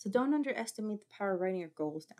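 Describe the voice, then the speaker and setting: A woman's animated tone with lively intonation. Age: 40s. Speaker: vlogger. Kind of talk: casual monologue with reading aloud. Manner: fast.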